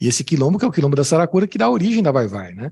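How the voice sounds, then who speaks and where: A man talks very fast in a São Paulo accent, his voice high-pitched yet dark and mellow in tone. His pitch swings very widely. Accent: São Paulo (paulista). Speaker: music professor. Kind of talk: academic talk with Q&A. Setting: conference with audience. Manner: hesitant, many fillers and repetitions.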